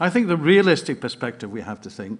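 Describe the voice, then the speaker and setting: A man talks in a Scottish accent with very wide pitch swings. The background is quiet. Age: 70s. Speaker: party delegate. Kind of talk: conference speech. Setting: conference hall with audience.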